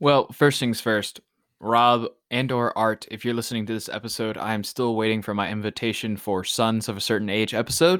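This very clean recording with a silent background captures a plain, everyday voice with fairly even intonation. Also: man, medium pitch for a man. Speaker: podcast host. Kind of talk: casual chat.

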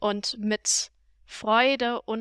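Her fairly high pitch carries a bright, sharp tone. The woman's sound is dry and close with no echo, on a very clean recording with a silent background. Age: young. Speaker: podcast co-host. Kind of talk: casual chat.

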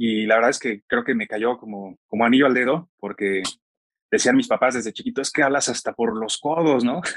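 A plain, everyday voice moves at a fairly quick pace, with a dry, close sound and no echo. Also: man. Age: 30s. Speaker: podcast host. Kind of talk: interview.

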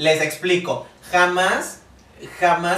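A man speaks in a room with audible echo, noticeable background noise present as well. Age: 20s. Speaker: podcast co-host. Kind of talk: casual panel discussion.

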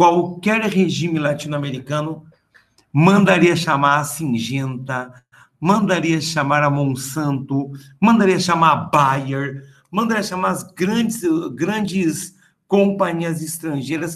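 Speaking at a fairly slow pace, a man with an unremarkable speaking voice uses a fairly high pitch and ordinary pitch variation. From interior of São Paulo state (Presidente Prudente), then Rio from age 11. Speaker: history professor. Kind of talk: interview.

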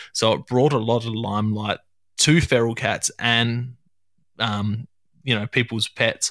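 A man at medium pitch and a fairly slow pace, with fairly even intonation and long, frequent pauses, in a very clean, dry, close recording with a silent background and no echo. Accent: Australian. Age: 30s. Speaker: hunting podcast host. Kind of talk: casual chat.

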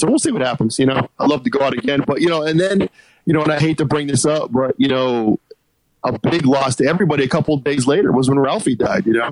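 Speaking very fast with an American accent, a man has a fairly high pitch and ordinary pitch variation, recorded with a dry, close sound and no echo. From US Northeast. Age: 40s. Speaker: podcast host. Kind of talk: casual chat. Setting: phone call.

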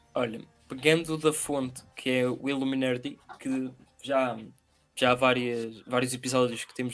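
A man at medium pitch and moderate pace, in a European Portuguese accent, with music in the background. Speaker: podcast co-host. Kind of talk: casual chat.

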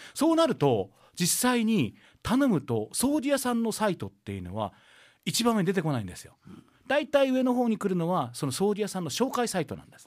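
A man talks at a high pitch and fairly quick pace, with very wide pitch swings and big swings in loudness. The recording is very clean, with a silent background. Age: 50s. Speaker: Buddhist priest and radio host. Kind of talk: casual radio talk.

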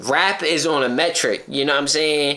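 A man's fairly slow speech comes with noticeable background noise. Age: 30s. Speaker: podcast host. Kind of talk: casual chat.

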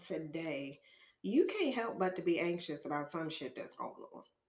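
Audible room echo surrounds the speaker. She is a woman talking at a moderate pace. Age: 30s. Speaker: podcast host. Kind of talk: personal monologue. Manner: casual.

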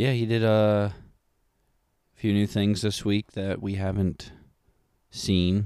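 A soft-spoken man with a dark, mellow tone, monotone, flat intonation, a very slow pace and long, frequent pauses, on a very clean recording with a silent background. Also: fairly low pitch for a man. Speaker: podcast co-host. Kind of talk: casual chat.

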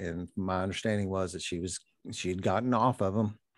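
Fairly low in pitch, a man talks at a fairly quick pace in a Kentucky accent. The recording is very clean, with a silent background. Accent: Kentucky Southern US. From Louisville, Kentucky. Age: 50s. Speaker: recovering addict and 12-step sponsor. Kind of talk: personal testimony in interview. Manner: halting, many fillers and repetitions.

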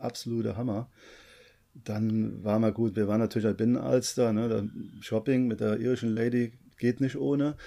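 Dark, mellow tone at a moderate pace, with long, frequent pauses, fairly even intonation and a very clean recording over a silent background. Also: man, medium pitch for a man. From Koblenz, Germany. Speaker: travel vlogger. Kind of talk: casual chat.

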